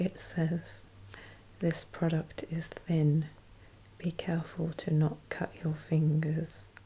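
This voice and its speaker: A soft-spoken woman, somewhat breathy, with a gentle, dark, mellow tone, fairly low pitch and fairly even intonation at a very slow pace. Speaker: ASMR creator. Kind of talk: ASMR unpacking commentary. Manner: soft-spoken, slow, gentle.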